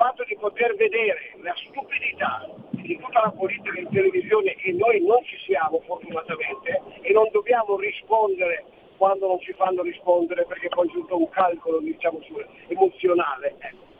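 A man's loudness swings widely. Noticeable background noise runs underneath. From Friuli Venezia Giulia. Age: 70s. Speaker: radio caller. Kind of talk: phone-in call. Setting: phone call from a car, hands-free. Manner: fast.

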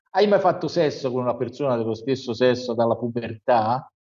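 A man with a plain, everyday voice speaks at medium pitch with ordinary pitch variation. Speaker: news commentator. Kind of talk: news review.

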